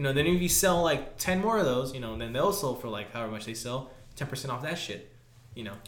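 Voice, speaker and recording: Over noticeable background noise, a man talks at a very fast pace in a medium pitch with lively intonation. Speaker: podcast co-host. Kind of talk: casual chat. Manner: casual, heavy profanity.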